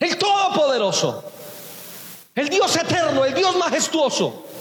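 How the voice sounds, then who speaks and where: Amid noticeable background noise and audible room echo, a man talks at a moderate pace with an extremely high pitch and lively intonation. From Colombia, Boyacá. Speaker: pastor. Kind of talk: sermon.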